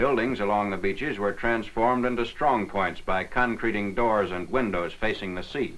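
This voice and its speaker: A man's fairly low voice, an unremarkable speaking voice with ordinary pitch variation and hardly any pauses. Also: moderate pace. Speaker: newsreel narrator. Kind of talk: wartime newsreel narration.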